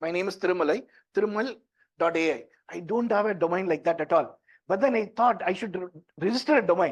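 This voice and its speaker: Speaking at a very fast pace, a man has a high-pitched voice and an Indian accent. His pitch varies in an ordinary way. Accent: Indian English (Tamil). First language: Tamil. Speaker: tech entrepreneur and workshop presenter. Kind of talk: workshop talk. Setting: stage with audience, also streamed online. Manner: conversational.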